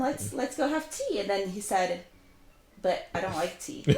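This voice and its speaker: Noticeable background noise fills the audio. Over it, a woman talks. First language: not English. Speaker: language educator. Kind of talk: casual chat.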